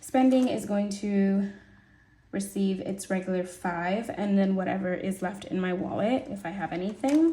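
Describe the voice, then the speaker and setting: A woman speaks at a medium pitch and a moderate pace. Her pitch varies in an ordinary way, and the room echo is audible. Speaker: budgeting video creator. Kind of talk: casual budgeting tutorial. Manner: casual, chatty.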